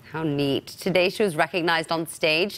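Speaking at a fairly quick pace, a woman with a fairly low pitch and ordinary pitch variation has an unremarkable speaking voice. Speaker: news reporter. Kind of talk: TV news report. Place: studio.

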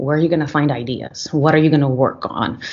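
A woman is speaking. Her pitch is very deep and low. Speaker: guest. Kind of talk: interview answer. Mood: reflective, friendly. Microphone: video call.

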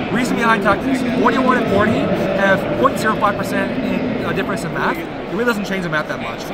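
A man talks at a moderate pace, the sound dry with no echo, while loud background noise runs underneath. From US, Georgia. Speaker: competitive card game player. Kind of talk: casual interview about his card deck. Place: hall. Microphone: phone near.

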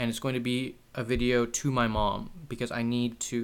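The man's voice sits at a medium pitch. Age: 20s. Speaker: YouTuber. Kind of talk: personal monologue. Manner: halting. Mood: serious, emotional, reflective. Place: home room. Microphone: webcam.

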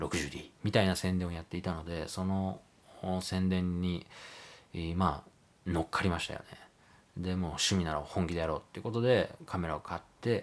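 A man speaks with a very deep, low voice. His intonation stays fairly even, at a moderate pace. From Japan, moved around incl. Hiroshima, Hokkaido, US, Canada; Japan. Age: 30s. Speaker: photographer. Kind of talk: casual monologue vlog; casual vlog chat, self-introduction. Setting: at home late at night. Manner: polite, hesitant with fillers. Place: home room.

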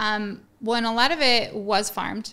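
A woman's bright, sharp voice with an American accent, at a moderate pace. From US West (Colorado). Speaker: farmer and educator; educator. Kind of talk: interview. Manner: passionate, animated. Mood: calm, thoughtful. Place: studio. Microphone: studio mic.

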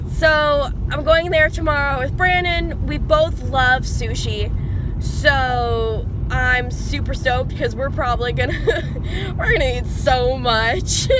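A woman speaks at a very slow pace. The sound is dry with no echo, though noticeable background noise is present. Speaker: vlogger. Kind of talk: casual vlog chat. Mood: excited, happy. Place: car. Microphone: phone near.

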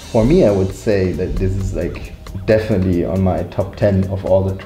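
A man speaks at a fairly slow pace with ordinary pitch variation, his voice carrying audible room echo over faint background music. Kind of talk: interview answer. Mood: enthusiastic, reflective. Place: studio.

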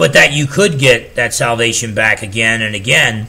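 The intonation here is lively. It belongs to a man. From New Jersey. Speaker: pastor and theology teacher. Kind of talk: solo theology lecture. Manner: casual with frequent fillers. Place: home room.

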